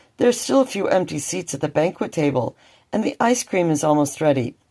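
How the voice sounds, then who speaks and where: A female-sounding voice in a put-on character voice is very deep, low, and raspy. It moves at a fairly quick pace. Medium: read story.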